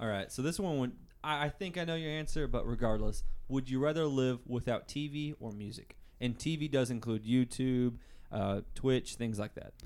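Speaking with an American accent, a man talks at a moderate pace and medium pitch with ordinary pitch variation. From US South, Arkansas. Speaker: podcast co-host, nursing student. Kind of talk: casual chat. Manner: loud.

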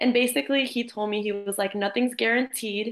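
A woman with an American accent, fairly high in pitch, with fairly even intonation at a moderate pace. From Jacksonville, Florida, US. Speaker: college soccer player. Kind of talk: interview. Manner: casual, filler-heavy.

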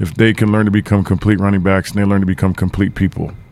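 Noticeable background noise sits behind a man's fairly low voice. He speaks with monotone, flat intonation. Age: 40s. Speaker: college football coach. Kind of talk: radio interview. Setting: studio.

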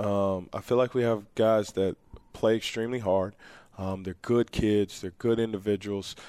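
A dark, mellow tone comes through at a moderate pace with monotone, flat intonation. The recording is very clean, with a silent background. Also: man, fairly low pitch for a man. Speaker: men's basketball coach. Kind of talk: interview.

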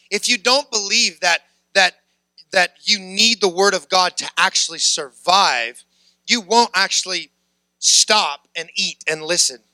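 This raised, projected voice has a bright, sharp tone, moving at a fairly slow pace with ordinary pitch variation in a dry, close sound with no echo. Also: man, high pitch for a man. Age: 30s. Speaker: preacher. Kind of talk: sermon.

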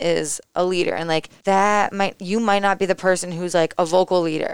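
A woman with an American accent has a plain, everyday voice, fairly low in pitch, with fairly even intonation. The sound is dry and close with no echo, on a very clean recording with a silent background. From Connecticut, US. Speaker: college athlete. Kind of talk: casual interview.

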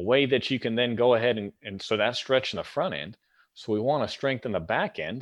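A man with a plain, everyday voice talks at a fairly quick pace, medium in pitch, with lively intonation. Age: 40s. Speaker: corrective exercise specialist and personal trainer. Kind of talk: interview.

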